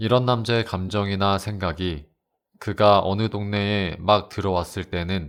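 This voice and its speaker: In a very clean recording with a silent background, a man speaks fairly slowly in a very deep, low pitch with a calm, soothing tone. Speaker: audiobook narrator. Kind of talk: audiobook reading of a classic novel.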